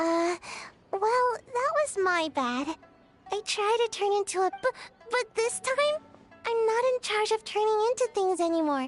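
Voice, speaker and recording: An extremely high-pitched, put-on character voice speaks at a moderate pace with long, frequent pauses. Faint music plays in the background. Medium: video game. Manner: flustered, stammering.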